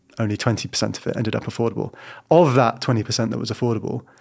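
A man with a London accent speaks at a medium pitch with vocal fry and fairly even intonation, on a very clean recording with a silent background. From London, Battersea. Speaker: local councillor for housing. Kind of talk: interview. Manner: halting.

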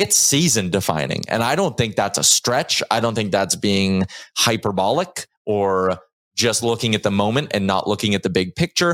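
He speaks at a fairly low pitch with lively intonation. It is an unremarkable speaking voice. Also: moderate pace. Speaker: sports podcast host. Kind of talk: casual sports talk show. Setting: studio.

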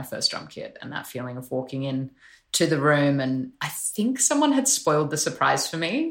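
A woman speaks at a moderate pace with an Australian accent. Her loudness rises and falls in big swings. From Australia (Sydney). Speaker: musician. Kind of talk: interview.

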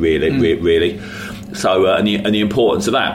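A man with a London accent speaks at a moderate pace in a fairly low pitch with ordinary pitch variation, with audible room echo and noticeable background noise. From West London. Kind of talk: interview.

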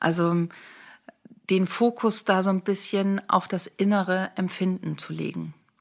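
On a very clean recording with a silent background, a woman speaks at medium pitch and a fairly slow pace in a monotone, flat intonation. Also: long, frequent pauses. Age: 50s. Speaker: make-up artist and beauty coach. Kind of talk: casual interview.

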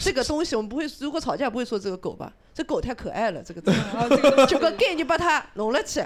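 The speech comes at a very fast pace. There are hardly any pauses. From Hangzhou, China. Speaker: podcaster. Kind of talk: casual chat. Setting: live recording with audience.

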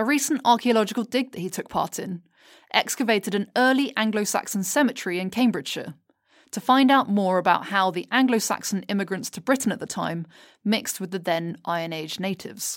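Delivered at a fairly quick pace with lively intonation, this is a normal speaking voice. The recording is very clean, with a silent background. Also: woman, medium pitch for a woman. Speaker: podcast producer narrator. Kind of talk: scripted narration.

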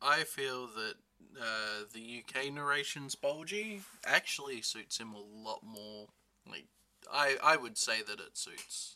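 A man speaks at a very slow pace in a medium pitch with a bright, sharp tone. His intonation is lively and his loudness swings widely. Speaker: guest co-host. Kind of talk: casual chat.

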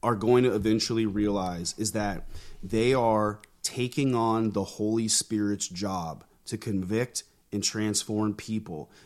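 A man with an American accent uses an ordinary speaking voice at fairly low pitch and fairly slow pace. His intonation is fairly even, and the recording is very clean with a silent background. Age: 30s. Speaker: pastor and army veteran. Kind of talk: interview conversation.

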